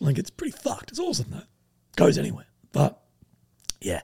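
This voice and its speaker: A man speaks with an Australian accent. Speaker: podcast guest. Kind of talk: casual chat. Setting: live show with audience.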